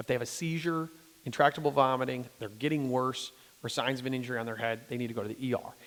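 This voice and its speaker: Talking at a very fast pace, a man with an American accent uses a medium pitch. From US Midwest, Detroit. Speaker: pediatrician. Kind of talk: talk with audience Q&A. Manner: animated.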